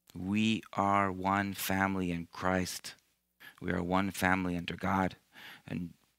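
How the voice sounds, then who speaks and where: The man's voice is very deep and low, delivered with monotone, flat intonation. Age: 50s. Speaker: missionary priest. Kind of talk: sermon. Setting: church. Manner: halting.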